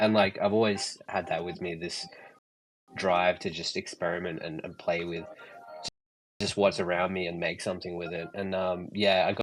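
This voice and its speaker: At a moderate pace, a man with an Australian accent talks in a very deep, low pitch with monotone, flat intonation. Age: 30s. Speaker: artist and photographer. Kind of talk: casual chat. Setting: online audio space. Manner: halting, many fillers.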